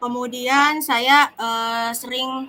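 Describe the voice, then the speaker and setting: Speaking very slowly, a woman has a fairly high pitch and a bright, sharp tone. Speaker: teacher (role-play coachee). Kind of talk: role-play coaching conversation. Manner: hesitant, many fillers.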